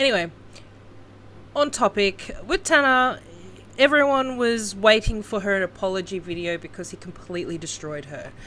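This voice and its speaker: Someone speaks at a moderate pace with an Australian accent. Long pauses come often. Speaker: YouTube commentator. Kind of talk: casual commentary vlog.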